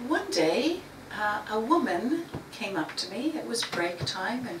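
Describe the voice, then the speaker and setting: A woman with a Canadian accent speaks at a high pitch, her pitch swinging very widely. The room echo is audible and background noise is noticeable. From Canada. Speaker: writer. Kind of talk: talk to a writing group. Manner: some hesitations and repeated words.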